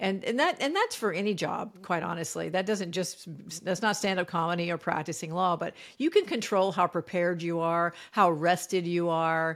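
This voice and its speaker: On a very clean recording with a silent background, a woman speaks at a moderate pace with fairly even intonation. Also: fairly low pitch for a woman. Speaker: comedian. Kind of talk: interview. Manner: calm.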